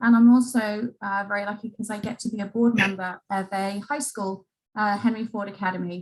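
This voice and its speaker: Somewhat breathy, a woman with an English accent talks at a fairly quick pace and medium pitch. Her intonation stays fairly even while her loudness swings widely. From England. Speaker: museum education executive. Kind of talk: panel introduction.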